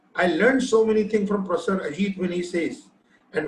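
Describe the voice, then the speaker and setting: This man has a high-pitched voice with an Indian accent. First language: Hindi. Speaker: machine translation technologist. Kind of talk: panel discussion.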